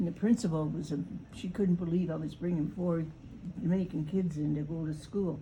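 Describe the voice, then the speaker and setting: A woman speaks at a moderate pace with a dark, mellow tone and some vocal fry. Her fairly low voice has ordinary pitch variation, and the room echo is audible. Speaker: grandmother recalling family history. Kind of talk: casual chat. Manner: halting.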